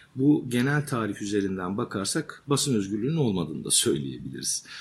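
A man talks at a moderate speed, his intonation lively. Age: 40s. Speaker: journalist and author. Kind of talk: interview. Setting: journalism workshop.

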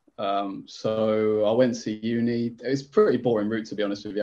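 Against a quiet background, a man with a fairly low pitch and a dark, mellow tone speaks in a monotone, flat intonation at a moderate pace. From Leicester, England. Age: 30s. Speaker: magazine editor. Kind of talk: casual chat.

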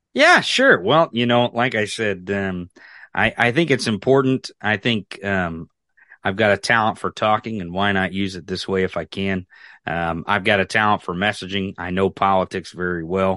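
A man's fairly low voice with an American accent, bright and sharp in tone, at a moderate pace with ordinary pitch variation, in a quiet background. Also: dry, close sound with no echo. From rural Missouri, US. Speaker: political podcaster. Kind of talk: casual chat. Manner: animated.

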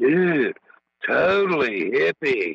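A man puts on a character voice in a dry, close sound with no echo. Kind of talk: casual slang. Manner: laid-back, hippie.

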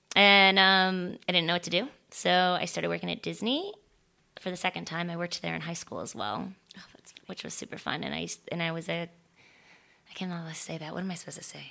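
A woman with an American accent speaks at a very fast pace. Long, frequent pauses break it up, and her loudness swings widely. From Florida, small town. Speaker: stunt performer and actress. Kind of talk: casual chat.

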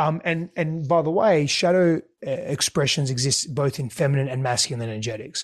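A man speaks with an Australian accent at a fairly quick pace, his fairly high voice somewhat breathy. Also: ordinary pitch variation. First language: Greek. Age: 30s. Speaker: relationship expert. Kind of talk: interview.

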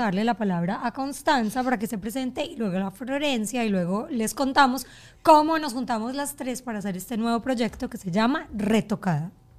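Pitched fairly high, a woman talks in a normal speaking voice. She goes at a fairly quick pace with hardly any pauses. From Colombia. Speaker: podcast host. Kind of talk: casual chat.

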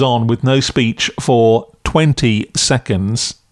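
A man talks at a medium pitch. The recording is very clean, and the background is silent. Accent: English. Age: 50s. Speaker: podcast critic. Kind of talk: scripted review.

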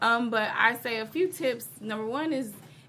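A woman with an American accent, fairly high pitch and a bright, sharp tone. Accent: slight twang. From US Midwest, Chicago. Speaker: hair stylist and fitness and style expert. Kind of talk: casual interview.

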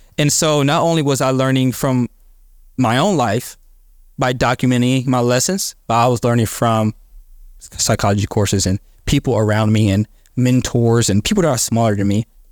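A man with a plain, everyday voice talks at a moderate pace in a medium pitch with ordinary pitch variation. His loudness is very even, and the sound is dry and close with no echo. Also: very clean recording, silent background. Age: 20s. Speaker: church member and podcaster. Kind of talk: testimony.

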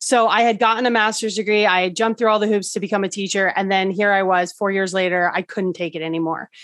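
A woman's medium-pitched voice racing along very fast, with hardly any pauses and fairly even intonation. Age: 40s. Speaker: wellness coach and EFT practitioner. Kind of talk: interview.

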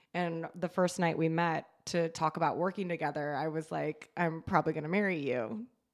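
A woman's plain, everyday voice at fairly low pitch, with fairly even intonation, a moderate pace and hardly any pauses, on a very clean recording with a silent background. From California coast, near San Francisco. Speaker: horror writer and comedian. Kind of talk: casual chat.

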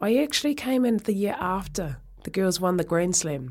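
Recorded very cleanly against a silent background, a woman with a New Zealand accent speaks at a moderate pace in a fairly low pitch with lively intonation. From New Zealand, Oamaru. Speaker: rugby presenter and former player. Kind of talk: interview. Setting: studio. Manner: hesitant, many fillers.

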